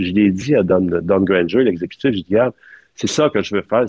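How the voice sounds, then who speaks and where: Speaking at a moderate pace with ordinary pitch variation, a man talks in a Quebec accent. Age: 60s. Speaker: film art director. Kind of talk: interview. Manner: halting.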